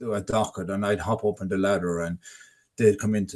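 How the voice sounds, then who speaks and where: In a Tipperary accent, a man with a fairly low voice talks at a fairly quick pace. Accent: Irish (Tipperary). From Ireland, North Tipperary. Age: 60s. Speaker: adult literacy ambassador. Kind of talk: webinar interview, personal testimony. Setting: online webinar. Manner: halting, with repeated words.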